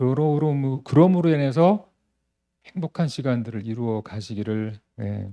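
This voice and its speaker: Talking at a fairly slow pace, a man has a medium pitch and a dark, mellow tone. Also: lively intonation. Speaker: photographer giving a lecture. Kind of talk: lecture.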